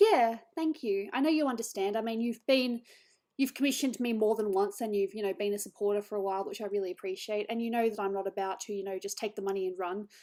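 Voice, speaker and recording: A woman mumbles at a very fast pace with an Australian accent, her medium pitch showing ordinary variation. Her tone is dark and mellow, on a very clean recording with a silent background. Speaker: digital artist streamer. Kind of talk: casual chat.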